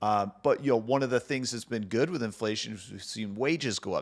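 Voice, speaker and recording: A man speaks at a fairly quick pace with a fairly low pitch, ordinary pitch variation and a plain, everyday voice. The recording is very clean, with a silent background. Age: 30s. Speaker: mortgage loan officer and podcast host. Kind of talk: casual solo podcast talk. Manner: conversational with many fillers.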